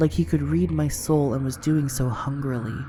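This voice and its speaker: Music plays in the background as a woman speaks. Her pitch is very deep and low, with very wide swings. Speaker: vlogger. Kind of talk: horror story narration.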